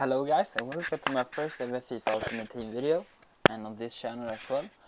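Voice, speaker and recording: At a fairly quick pace, a man of medium pitch speaks with a Swedish accent and ordinary pitch variation. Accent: Swedish accent, noticeable. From Sweden. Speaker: gaming youtuber. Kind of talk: gameplay commentary. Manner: hesitant, many fillers.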